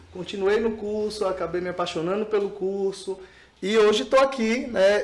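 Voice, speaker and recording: A man with a high voice talks at a moderate pace and fairly even intonation over noticeable background noise. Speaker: speech therapist. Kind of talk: podcast interview.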